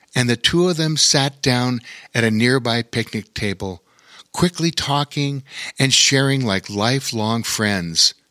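A passage is read aloud in a natural voice.

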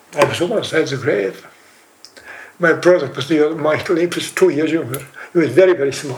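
Fairly high male voice at a fairly quick pace, ordinary pitch variation, and noticeable background noise. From Doolin, County Clare, Ireland. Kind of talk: recalling a memory.

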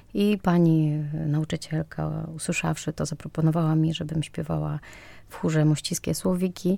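On a very clean recording with a silent background, a woman with a Ukrainian accent speaks in a very deep, low voice with a dark, mellow tone, at a moderate pace and with fairly even intonation. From western Ukraine, near Polish border. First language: Ukrainian (speaking Polish). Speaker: actress. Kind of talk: interview.

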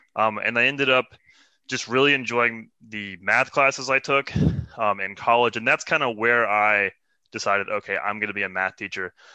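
Using a plain, everyday voice, a man with an American accent speaks at a moderate pace and medium pitch with fairly even intonation. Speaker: math teacher. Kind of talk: casual interview.

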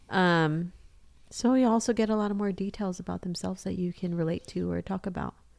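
A woman with an unremarkable speaking voice talks with fairly even intonation in a very clean recording with a silent background. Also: medium pitch for a woman, fairly quick pace. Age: 30s. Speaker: podcast co-host. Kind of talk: casual chat.

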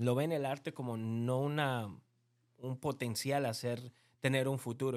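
Over a silent background on a very clean recording, a man with an unremarkable speaking voice talks at medium pitch and a fairly quick pace, his intonation fairly even. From Bolivia. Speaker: podcast host. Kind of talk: casual interview chat.

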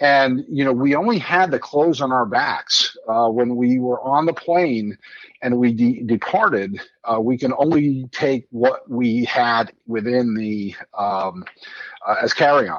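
A man speaks at a fairly slow pace with a medium pitch and ordinary pitch variation in a normal speaking voice. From Midland, Michigan. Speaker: 9/11 diverted passenger. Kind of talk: interview, personal story.

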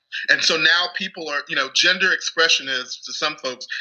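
Against noticeable background noise, a man talks at a fairly quick pace. He speaks with an American accent. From Texas. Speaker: comedian and radio personality. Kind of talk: casual chat.

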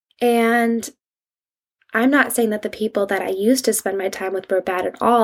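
A woman's fairly high voice at a moderate pace, with monotone, flat intonation. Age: 20s. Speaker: podcast host. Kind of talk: casual solo monologue. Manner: conversational, with frequent fillers and restarts.

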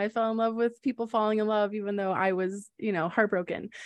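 A woman speaks quickly-ish in an ordinary speaking voice, her pitch fairly high, against a quiet background. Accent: American. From Wisconsin, US Midwest. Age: 30s. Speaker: podcast co-host, small business owner and mom. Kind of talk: casual personal storytelling. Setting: studio with sibling co-host.

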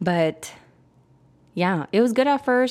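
The tone is animated. A woman speaks in a very clean recording with a silent background. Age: 20s. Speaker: podcast host. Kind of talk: casual monologue.

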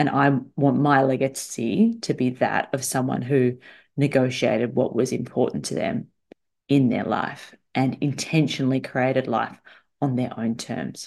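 At a fairly slow pace, a woman speaks in a very deep, low pitch with vocal fry and ordinary pitch variation. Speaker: salary negotiation coach. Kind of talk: solo podcast monologue. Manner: animated.

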